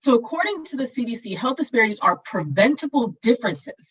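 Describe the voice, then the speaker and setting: A woman speaks with an American accent. Her voice is somewhat breathy and her pace fairly quick. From US West Coast. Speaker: physician and keynote speaker. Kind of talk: keynote presentation. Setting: virtual conference. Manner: fast.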